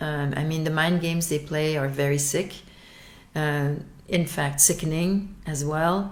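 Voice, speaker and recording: The voice moves at a fairly slow pace. Audible room echo surrounds it. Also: woman, very deep, low pitch for a woman, fairly even intonation. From Belgium. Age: 60s. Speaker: abuse survivor. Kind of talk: testimony. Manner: halting, with frequent repetitions and fillers.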